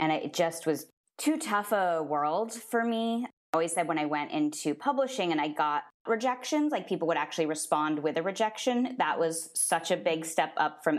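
A woman's unremarkable speaking voice, fairly low in pitch, at a fairly quick pace, with very even loudness and lively intonation. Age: 30s. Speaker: author. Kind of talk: interview.

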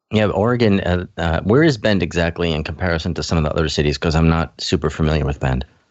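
With vocal fry and ordinary pitch variation, a man talks very fast in a very deep, low pitch. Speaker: cannabis radio host. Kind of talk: radio DJ patter, stoner-themed show intro and news rundown. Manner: upbeat, animated, playful.

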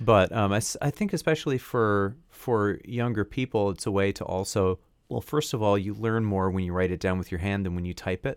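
In a dry, close sound with no echo, a man with a plain, everyday voice and a fairly low pitch talks at a fairly quick pace with hardly any pauses and ordinary pitch variation. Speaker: podcast co-host and audio engineer. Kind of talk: casual chat.

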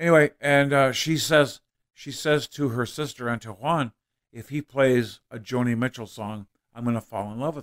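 A man at a medium pitch and moderate pace with big swings in loudness, in a dry, close sound with no echo, on a very clean recording with a silent background. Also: ordinary pitch variation. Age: 30s. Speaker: comedian. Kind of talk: casual chat. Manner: halting.

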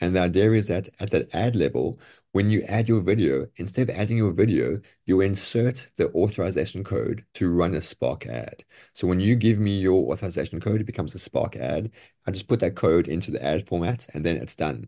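Speaking at a fairly quick pace over a quiet background, a man uses a very deep, low pitch with a dark, mellow tone, vocal fry and lively intonation. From outside the US. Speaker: e-commerce seller and TikTok expert. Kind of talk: interview. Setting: video call.

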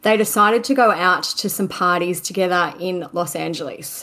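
A woman with a normal speaking voice, medium in pitch, at a fairly quick pace. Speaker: podcast co-host. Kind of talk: casual chat and true crime storytelling. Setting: remote call. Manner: laughs often.

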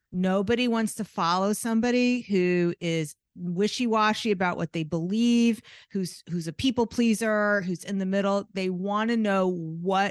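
A woman with an unremarkable speaking voice talks at a fairly slow pace with ordinary pitch variation, the sound dry and close with no echo against a quiet background. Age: 50s. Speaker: artist and art business coach. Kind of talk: interview conversation.

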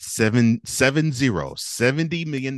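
An American accent comes through with vocal fry. The background is quiet. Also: man. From Houston, Texas. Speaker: sports podcaster. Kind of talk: casual chat. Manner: halting.

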